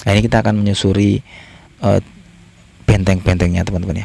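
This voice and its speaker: Noticeable background noise behind a man's fairly low voice with ordinary pitch variation. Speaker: travel and history vlogger. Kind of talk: walking vlog narration. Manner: halting, many fillers.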